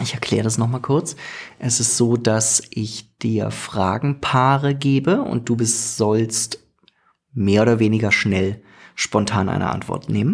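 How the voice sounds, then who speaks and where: Very slowly and with fairly even intonation, a man speaks at a medium pitch. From Germany. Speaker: podcast host. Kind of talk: casual interview chat. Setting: studio, evening recording.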